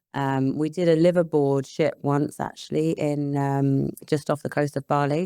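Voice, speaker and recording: With a British accent and a dark, mellow tone, a woman speaks at a very deep, low pitch and a moderate pace, with monotone, flat intonation, hardly any pauses, and a dry, close sound with no echo. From England, London and Hertfordshire. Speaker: property investor and business psychologist. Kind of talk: podcast interview. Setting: in person.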